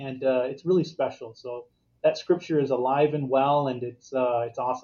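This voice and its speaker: A man with an American accent talks in a plain, everyday voice at medium pitch. His intonation is fairly even and his pace moderate. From Arizona. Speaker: guest on faith podcast about infertility. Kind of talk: casual interview chat.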